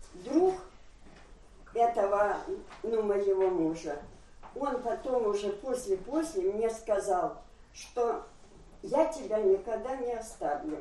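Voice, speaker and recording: A woman's fairly high voice moves through very wide pitch swings at a very slow pace. Long, frequent pauses break up her speech, and room echo is audible. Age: old. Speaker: church member. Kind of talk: testimony.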